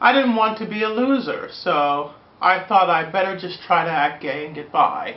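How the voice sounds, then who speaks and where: Lively in intonation, a woman speaks at a moderate pace amid audible room echo. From Pennsylvania, Pittsburgh. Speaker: video blogger. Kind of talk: personal testimony. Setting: recorded on camera. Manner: earnest, measured.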